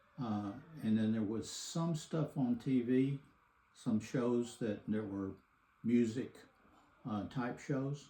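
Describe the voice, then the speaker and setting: With a Texan accent and a dark, mellow tone, a man at medium pitch talks at a very slow pace, leaving long, frequent pauses, his pitch varying in an ordinary way. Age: 70s. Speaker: grandfather interviewed for a school assignment. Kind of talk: interview.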